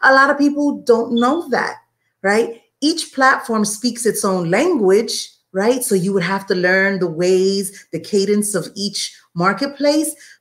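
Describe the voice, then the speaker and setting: A woman with a New York accent speaks at a fairly slow pace in a fairly high voice with lively intonation. The recording is very clean, with a silent background. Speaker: online business coach. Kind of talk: live stream talk. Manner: conversational, tangential.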